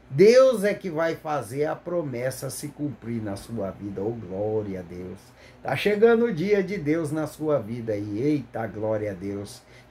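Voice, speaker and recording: Pitched fairly high for a man, his voice moves at a very slow pace with very wide pitch swings and audible room echo. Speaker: lay preacher. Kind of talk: sermon. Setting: recorded video, not live. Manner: halting, stumbles over words; fervent, exclamatory.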